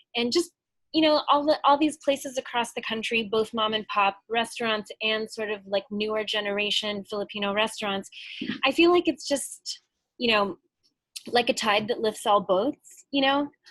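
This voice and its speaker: In a normal speaking voice, a woman talks at a moderate pace with a fairly high pitch. Her pitch varies in an ordinary way against a quiet background. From US Midwest, Chicago. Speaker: restaurant owner. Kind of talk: casual chat. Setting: video call.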